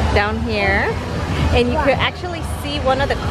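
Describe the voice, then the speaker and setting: With music playing in the background, a woman speaks in a dry recording with no echo. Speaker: theme park vlogger. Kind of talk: casual vlog chat. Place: street. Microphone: phone near.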